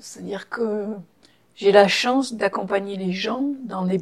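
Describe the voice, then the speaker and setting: With ordinary pitch variation, a woman of medium pitch talks at a moderate pace. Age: 60s. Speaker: psychotherapist and ceremony officiant. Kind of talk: interview. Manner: halting.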